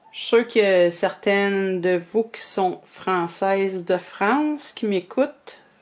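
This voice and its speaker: A woman with a Quebec accent talks at a very slow pace, her medium pitch showing ordinary variation. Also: hardly any pauses. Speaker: reborn doll artist. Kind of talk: tutorial. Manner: casual, hesitant with many fillers.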